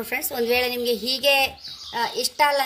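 Over noticeable background noise, a woman speaks in a raised, projected voice at a high pitch. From Andhra Pradesh, India. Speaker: cooking video creator. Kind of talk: cooking tutorial. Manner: casual, chatty.

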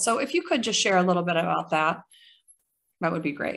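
Speaking at a fairly quick pace, a woman has a fairly low pitch, a fairly bright tone, vocal fry and lively intonation.

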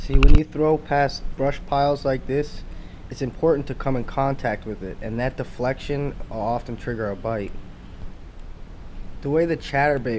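Light background noise accompanies a man speaking at a moderate pace with fairly even intonation. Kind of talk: casual fishing commentary. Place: boat. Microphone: phone near.

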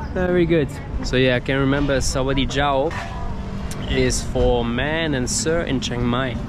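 The speaker goes fairly slowly over noticeable background noise, and the sound is dry with no echo. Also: man. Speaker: travel food vlogger. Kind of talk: casual vlog chat.

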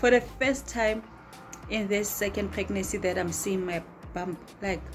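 The speech moves at a moderate pace while faint music plays in the background. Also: woman. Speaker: vlogger. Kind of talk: casual vlog chat. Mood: amused, chatty. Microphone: phone near.

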